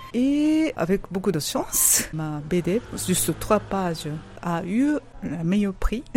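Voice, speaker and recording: A woman with a Japanese accent speaks at a very slow pace, her pitch swinging very widely over noticeable background noise. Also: medium pitch for a woman. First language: Japanese (speaking French). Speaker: author-illustrator. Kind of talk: interview.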